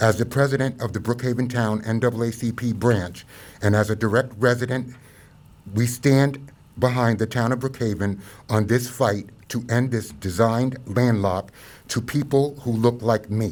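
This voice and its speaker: A man with an American accent and a medium pitch speaks at a moderate pace with fairly even intonation, in a very clean recording with a silent background. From Long Island, New York. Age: 60s. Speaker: civil rights organization representative. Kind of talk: press conference statement.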